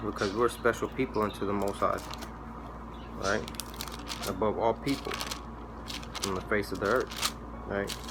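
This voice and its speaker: Noticeable background noise accompanies this male speaker. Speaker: religious video preacher. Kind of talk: bible teaching monologue. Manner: fast; repetitive, stammering.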